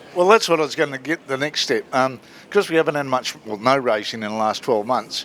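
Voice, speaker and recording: A man speaks with an Australian accent. His pace is fairly quick and his intonation lively. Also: medium pitch for a man. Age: 60s. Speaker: motorsport interviewer. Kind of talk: casual interview. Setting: garage at racetrack.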